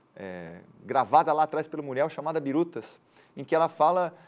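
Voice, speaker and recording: The speaker has a Florianópolis accent. The pace is moderate. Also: man. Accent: Florianópolis island. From Florianópolis, Brazil. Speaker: journalist and tour guide. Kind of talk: interview answer.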